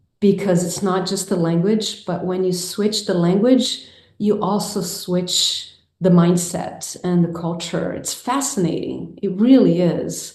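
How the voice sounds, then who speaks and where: Somewhat breathy, the voice moves at a fairly slow pace with fairly even intonation. Audible room echo surrounds it. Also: woman, medium pitch for a woman. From Brazil, Rio de Janeiro. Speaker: filmmaker and mindfulness teacher. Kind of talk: interview conversation.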